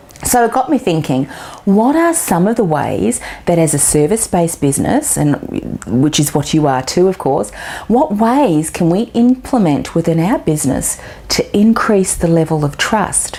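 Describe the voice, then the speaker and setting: Over noticeable background noise, a woman with an Australian accent talks at a moderate pace and fairly low pitch, with very wide pitch swings but very even loudness. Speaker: business marketing coach. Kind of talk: video tip talk to camera.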